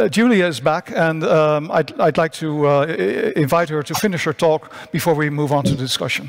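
In a Dutch accent, a man talks at a fairly slow pace with a fairly high pitch. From Netherlands. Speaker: science journalist, panel moderator. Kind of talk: panel moderation. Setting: conference stage with remote speakers. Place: stage. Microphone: headset.

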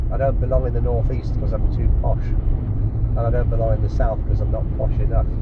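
A man talks with hardly any pauses. Loud background noise runs underneath. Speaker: language learner. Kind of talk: casual chat. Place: car. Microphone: phone near.

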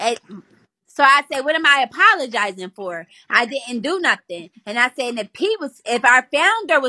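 Over a quiet background, a woman speaks in an animated, raised and projected voice, her high pitch bright and sharp in tone and swinging very widely. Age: 30s. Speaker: live streamer. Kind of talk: heated live stream rant. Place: home room. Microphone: phone near.

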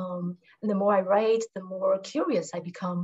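Speaking at a fairly slow pace against a quiet background, a woman with a medium-pitched voice sounds somewhat breathy. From Taiwan, Taipei; Taiwan. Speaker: writer. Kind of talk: panel discussion answer. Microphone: video call.

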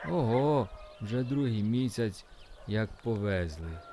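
Against clear background noise, a man at medium pitch mumbles in a put-on character voice with a warm tone, lively intonation and a fairly slow pace. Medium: read story. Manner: deferential, folksy, warm.

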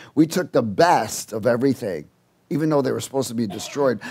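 The man's delivery carries lively intonation throughout. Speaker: preacher. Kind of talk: sermon. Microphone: headset.

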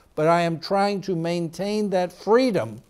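The speaker is a man. His accent is American. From United States. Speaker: physician and TV host; physician TV host. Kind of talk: health talk monologue; talk show monologue. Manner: hesitant with many fillers. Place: studio.

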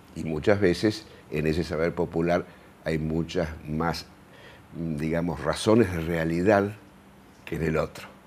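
The speech comes at a fairly slow pace with fairly even intonation and long, frequent pauses. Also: man, very deep, low pitch for a man. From Argentina, La Pampa province. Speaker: sociologist and university professor; university professor. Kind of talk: interview. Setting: TV studio. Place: studio. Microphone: lapel.

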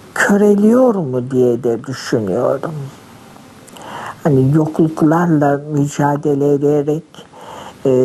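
Over noticeable background noise, a woman speaks at a very slow pace with long, frequent pauses. Her pitch is very deep and low, with lively intonation. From Kütahya, Turkey. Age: 70s. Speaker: retired literature teacher. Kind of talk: interview answer.

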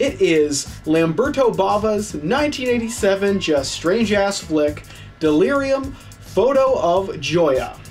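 Faint music sits behind the voice. The speaker is a man. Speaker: film review show host. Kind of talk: casual host intro.

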